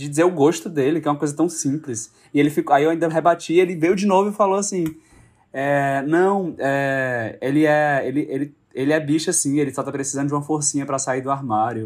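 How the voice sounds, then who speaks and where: Fairly quick delivery in an ordinary speaking voice, ordinary pitch variation throughout. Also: man, fairly high pitch for a man. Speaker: actor and director. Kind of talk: casual chat.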